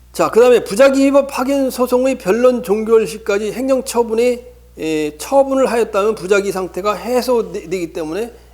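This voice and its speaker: A man talks in a high pitch at a very slow pace. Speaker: law lecturer. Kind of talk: lecture. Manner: halting, many repetitions and fillers.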